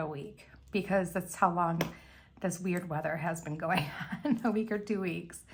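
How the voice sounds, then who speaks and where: Somewhat breathy woman's voice at a medium pitch and moderate pace, with audible room echo. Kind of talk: tutorial. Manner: casual chatty.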